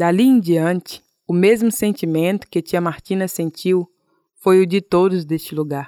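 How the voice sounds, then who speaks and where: A woman's plain, everyday voice at medium pitch, fairly slow in pace, with ordinary pitch variation and a dry, close sound with no echo. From Brazil, Tocantins (Jalapão, quilombo Mumbuca). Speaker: podcast host, journalism student and artisan. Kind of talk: scripted narration.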